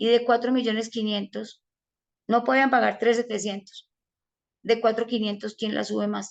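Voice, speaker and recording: A woman with a fairly high pitch speaks at a moderate pace, leaving long, frequent pauses. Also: fairly even intonation. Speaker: financial advisor giving a talk. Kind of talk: online presentation/webinar.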